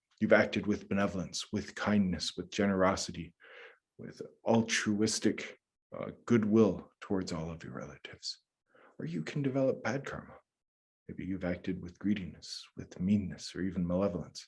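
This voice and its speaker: A man with an American accent and a normal speaking voice talks at a moderate pace in a fairly low pitch. His pitch variation is ordinary, while his loudness swings widely. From US Midwest, north central Minnesota. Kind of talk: lecture.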